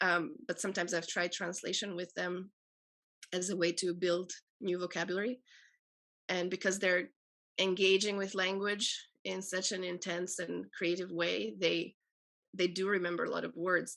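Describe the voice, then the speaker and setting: Using a medium pitch and fairly even intonation, a woman with an Albanian accent and vocal fry speaks at a moderate pace with long, frequent pauses. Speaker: poet and translator. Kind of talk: panel discussion. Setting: video call.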